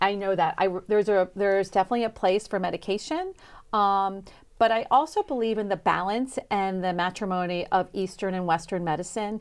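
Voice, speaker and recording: In a very clean recording with a silent background, a woman talks fairly quickly at a medium pitch with ordinary pitch variation. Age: 60s. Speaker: chef and wellness coach. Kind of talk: interview. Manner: halting, many fillers.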